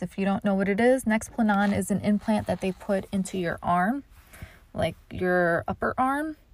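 On a very clean recording with a silent background, a woman with an unremarkable speaking voice talks at a moderate pace and a medium pitch. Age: 30s. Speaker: comedian and podcast host. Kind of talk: casual chat.

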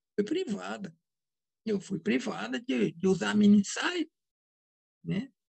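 The sound is dry and close, with no echo. A woman talks very slowly. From Brazil, Minas Gerais. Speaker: psychoanalyst and author. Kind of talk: interview.

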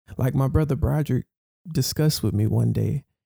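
A man's somewhat breathy voice has a dark, mellow tone, medium pitch and ordinary pitch variation, recorded with a dry, close sound and no echo. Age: 20s. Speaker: minister leading Bible study. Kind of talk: Bible study teaching. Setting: Zoom video call. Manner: animated.

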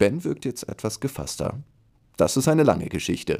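Dark and mellow in tone, a man speaks at a moderate pace. The recording is very clean, with a silent background. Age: 20s. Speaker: children's book author. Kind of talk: reading aloud; casual chat.

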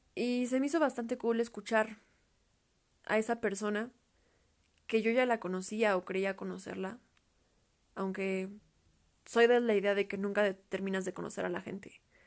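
A woman speaks at a medium pitch and a moderate pace. Her intonation is fairly even, with long, frequent pauses. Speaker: podcaster. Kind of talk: casual solo monologue.

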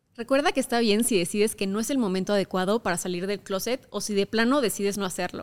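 A woman with a central Mexican accent. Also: very clean recording, silent background. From Mexico, Querétaro. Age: 20s. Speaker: podcast host, content creator. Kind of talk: personal monologue podcast.

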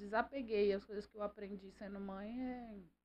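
A woman speaks at medium pitch in a dark, mellow tone with ordinary pitch variation. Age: 40s. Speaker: businesswoman, host's mother. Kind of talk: casual interview.

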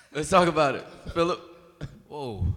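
Animated in tone, a man talks at a fairly quick pace with a fairly high pitch. Audible room echo and noticeable background noise surround him. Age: 20s. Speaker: podcast co-host. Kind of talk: casual chat.

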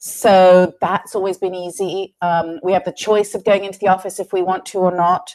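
A woman with a British accent speaks at medium pitch and a moderate pace in a flat monotone, hardly pausing. The sound is dry and close, with no echo. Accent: British, strengthened recently. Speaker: head of people, business executive. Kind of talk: interview conversation.

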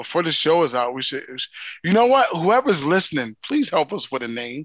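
A dry, close sound with no echo and a quiet background, in an American accent. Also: man. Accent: Philadelphia, strong when relaxed. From Philadelphia. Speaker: podcast co-host. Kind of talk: casual banter.

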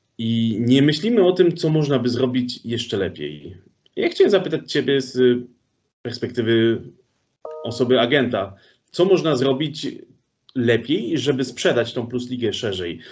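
A man speaks at a moderate pace with a medium pitch and lively intonation. His speech is broken by long, frequent pauses. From Poland, Sosnowiec. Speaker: podcast host. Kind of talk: casual interview.

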